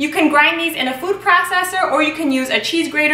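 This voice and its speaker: A woman's raised, projected voice rings out with audible room echo. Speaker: home baker host. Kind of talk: tutorial. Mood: cheerful, friendly. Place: kitchen.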